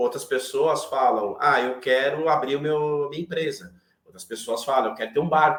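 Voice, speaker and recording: A man speaks at a moderate pace, his loudness swinging widely up and down. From Brazil, São Paulo. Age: 40s. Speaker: IT professional and manager. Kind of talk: interview conversation on a live online chat.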